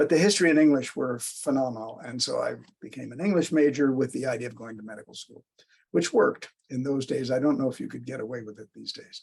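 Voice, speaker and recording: Very fast and with an American accent, a man talks at medium pitch with ordinary pitch variation, vocal fry, and big swings in loudness. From US Midwest, St. Louis, Missouri. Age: 80s+. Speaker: psychoanalyst. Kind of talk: interview. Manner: halting. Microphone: speaker echo picked up, then switched to AirPods.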